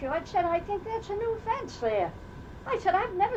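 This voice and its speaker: A woman with a Rhode Island accent swings her pitch very widely, with noticeable background noise and audible room echo. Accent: Rhode Island New England. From Rhode Island, Newport. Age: 80s+. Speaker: oral history interviewee. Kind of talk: casual chat.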